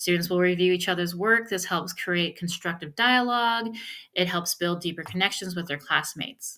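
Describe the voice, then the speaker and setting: A woman's fairly low voice with ordinary pitch variation, in a very clean recording against a silent background. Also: moderate pace. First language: not English. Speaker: professor. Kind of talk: recorded lecture.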